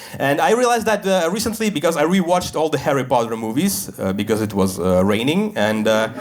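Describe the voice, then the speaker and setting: Over noticeable background noise, a man speaks at a very fast pace with hardly any pauses, his fairly high pitch swinging very widely. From Russia. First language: Russian. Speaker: stand-up comedian. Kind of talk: stand-up comedy set.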